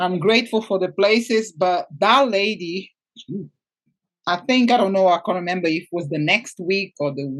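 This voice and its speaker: With a Portuguese accent, a woman speaks at a medium pitch, using ordinary pitch variation. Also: moderate pace. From Portugal. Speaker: financial coach for women. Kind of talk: interview. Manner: halting.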